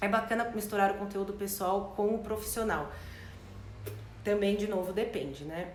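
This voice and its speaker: The voice moves at a moderate pace amid audible room echo and noticeable background noise. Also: woman. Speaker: branding and marketing consultant. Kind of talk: live stream talk with Q&A. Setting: online live stream.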